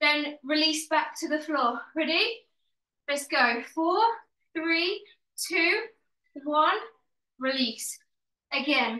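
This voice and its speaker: A woman uses a raised, projected voice with a bright, sharp tone at a very slow pace, leaving long, frequent pauses. The background is quiet, with audible room echo. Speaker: fitness instructor. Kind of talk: workout instruction and counting. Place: home room. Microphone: video call.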